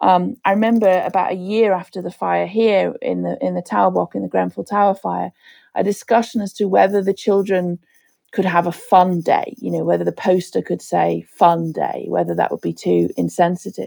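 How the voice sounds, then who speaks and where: A woman with a Liverpool accent speaks at a moderate pace. The recording is very clean, with a silent background and a dry, close sound with no echo. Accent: Liverpool (Scouse) English. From Liverpool, England. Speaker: disaster recovery expert. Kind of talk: interview.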